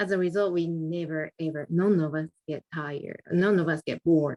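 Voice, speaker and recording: With a non-native accent, a woman speaks at a moderate pace with ordinary pitch variation in a dry, close sound with no echo. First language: not English. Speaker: club member giving evaluation. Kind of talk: speech evaluation. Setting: video call. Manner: halting.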